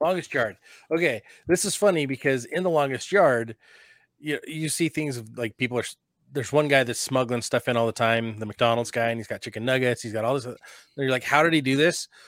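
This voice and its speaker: Dry and close with no echo, a very clean recording over a silent background carries a man talking at a very fast pace. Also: medium pitch for a man, ordinary pitch variation. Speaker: podcast host. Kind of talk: casual conversation. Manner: casual, conversational.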